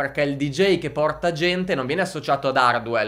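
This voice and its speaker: A man's animated, fairly quick speech against a quiet background. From northern Italy, Lombardy (Crema); Lombardy, Italy. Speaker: music marketing entrepreneur; music marketing creator. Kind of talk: youtube monologue. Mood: frank, mildly exasperated. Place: studio. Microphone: studio mic.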